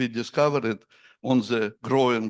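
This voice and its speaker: A man with a non-native accent talks at a fairly slow pace, his pitch medium with ordinary variation. The background is quiet. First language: Russian. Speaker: astronomer. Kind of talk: conference Q&A. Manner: halting.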